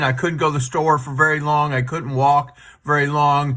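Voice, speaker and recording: A plain, everyday voice from a man, fairly high in pitch, at a fairly quick pace. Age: 60s. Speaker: product user giving testimonial. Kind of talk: testimony. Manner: casual.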